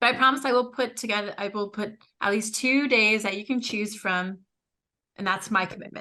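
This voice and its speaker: A woman speaks loudly at a fairly quick pace, her fairly high voice bright and sharp with fairly even intonation. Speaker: podcast co-host. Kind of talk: casual chat.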